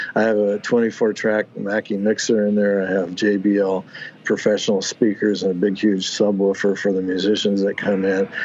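A man with an American accent speaks at fairly low pitch in a monotone, flat intonation. Noticeable background noise runs underneath. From US Pacific Northwest (Oregon, Washington). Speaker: dance, music and arts studio founder. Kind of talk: casual interview. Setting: video call.

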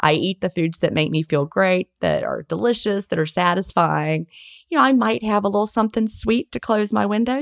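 A woman has an unremarkable speaking voice at a medium pitch, moving at a fairly quick pace with ordinary pitch variation. The sound is dry and close, with no echo. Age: 50s. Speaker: author and intermittent fasting advocate. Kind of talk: interview. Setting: remote call during a hurricane.

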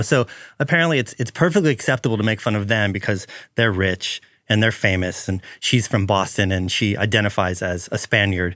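In a very clean recording with a silent background, a man talks at a fairly quick pace and fairly low pitch in an ordinary speaking voice. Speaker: podcast host and photographer. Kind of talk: interview conversation.

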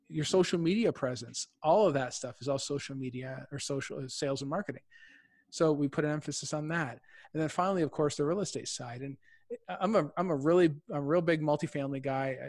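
On a very clean recording with a silent background, a man talks with a fairly high pitch and ordinary pitch variation. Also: fairly quick pace. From Windsor, Ontario, Canada. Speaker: real estate investor. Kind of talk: interview.

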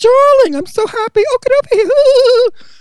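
This is a put-on character voice with an extremely high pitch. It sounds squeaky. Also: moderate pace. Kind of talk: affectionate, gushing. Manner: camp, flamboyant.

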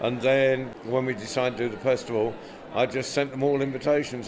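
Over noticeable background noise, a man with an English accent talks at a moderate pace in a medium pitch. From England. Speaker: storyteller and festival director. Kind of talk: interview.

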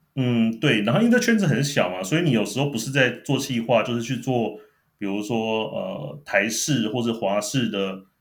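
Audible room echo surrounds a man speaking at medium pitch and a moderate pace. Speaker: former TV producer. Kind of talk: casual chat. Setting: remote call.

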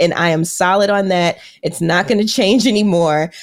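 A woman speaks at a moderate pace in an ordinary speaking voice with ordinary pitch variation. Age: 30s. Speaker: financial counselor and podcast host. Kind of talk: podcast interview.

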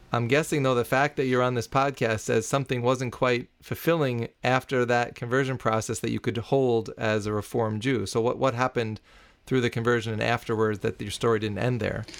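Over a very clean, silent background, a man speaks in a plain, everyday voice at a medium pitch and fairly quick pace, with fairly even intonation and hardly any pauses. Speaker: podcast host. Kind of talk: interview.

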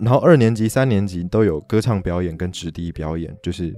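A man with a fairly low voice and ordinary pitch variation talks at a moderate speed while music plays behind him. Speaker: podcast host. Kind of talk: solo podcast talk. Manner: animated.

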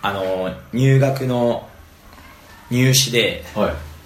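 A man's medium-pitched voice with lively intonation, audible room echo and noticeable background noise. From Japan, Fukui Prefecture. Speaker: tennis coach. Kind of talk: casual interview.

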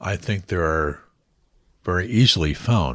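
Speaking at a very slow pace, a man with a very deep, low pitch shows vocal fry and a bright, sharp tone on a very clean recording with a silent background. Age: 60s. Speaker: broadcaster and voiceover artist. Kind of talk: interview conversation. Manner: halting.

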